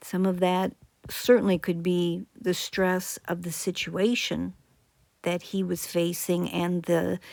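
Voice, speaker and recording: Monotone, flat intonation at a very slow pace, on a very clean recording with a silent background. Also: woman, fairly low pitch for a woman. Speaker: psychologist commentator. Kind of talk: video commentary.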